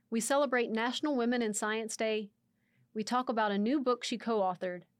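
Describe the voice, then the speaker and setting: An unremarkable speaking voice from a woman with an American accent, fairly high in pitch and fairly quick in pace, on a very clean recording with a silent background. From Texas, near Waco. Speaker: communications coordinator, guest podcast host. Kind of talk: scripted introduction; interview conversation. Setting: studio.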